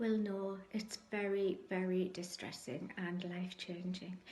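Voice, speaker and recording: Amid noticeable background noise and audible room echo, a woman speaks at a fairly slow pace with fairly even intonation. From northeast England, Sunderland. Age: 60s. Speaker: cancer patient sharing faith story. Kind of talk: testimony. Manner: hesitant, frequent ums.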